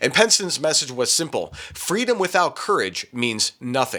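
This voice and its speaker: Male speech at a moderate pace, the pitch swinging very widely, with noticeable background noise behind it. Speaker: political commentator. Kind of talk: political news commentary. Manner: emphatic.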